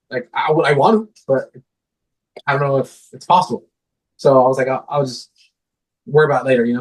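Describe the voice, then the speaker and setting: A man talks at a very fast pace. His voice is somewhat breathy and fairly high in pitch. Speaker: guitarist. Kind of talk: casual chat. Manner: animated.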